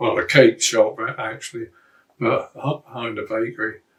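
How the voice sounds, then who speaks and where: A man talks with a Norfolk accent. His pace is fairly slow. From Great Yarmouth, Norfolk, England. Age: 80s+. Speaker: RAF veteran. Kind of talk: interview answer.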